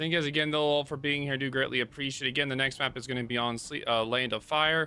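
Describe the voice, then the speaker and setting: Words tumble out extremely quickly. The pitch contour remains mostly level throughout. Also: man, fairly high pitch for a man. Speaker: esports caster. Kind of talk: live commentary. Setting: livestream.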